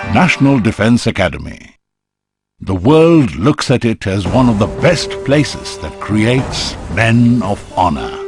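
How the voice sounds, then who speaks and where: Over music in the background, a man speaks at a fairly slow pace in a medium pitch with very wide pitch swings. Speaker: narrator. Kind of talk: documentary narration.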